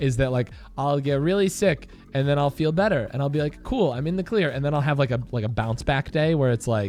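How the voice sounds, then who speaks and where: Music plays behind a man with a fairly high voice. He talks at a fairly quick pace with lively intonation. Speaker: gaming streamer. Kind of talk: casual chat. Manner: halting.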